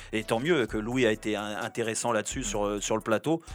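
A man talks at a moderate pace. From Paris, France. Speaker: former footballer and radio pundit. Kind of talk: casual chat. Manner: halting, many fillers and repetitions.

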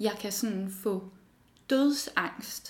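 A woman speaks at a fairly high pitch. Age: 20s. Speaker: design student. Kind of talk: personal interview testimony.

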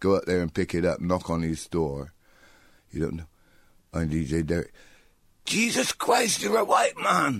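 Taking long, frequent pauses, a man speaks at a moderate pace on a very clean recording with a silent background. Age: 60s. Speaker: DJ. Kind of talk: radio interview.

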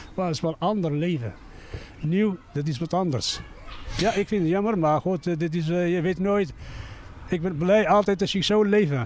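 A man with a non-native accent and a high pitch, at a moderate pace with ordinary pitch variation and long, frequent pauses. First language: not Dutch (speaking Dutch). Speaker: resident interviewed on the street. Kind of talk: street interview. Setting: outdoors. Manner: halting.

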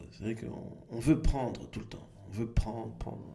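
Audible room echo fills the recording. The man talks very slowly. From Belgium, Brussels area. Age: 40s. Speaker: comedian. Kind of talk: interview. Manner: halting.

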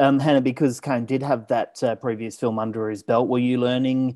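A man with an Australian accent, medium-pitched and monotone in a flat delivery, against a quiet background. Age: 30s. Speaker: film podcast host. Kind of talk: interview.

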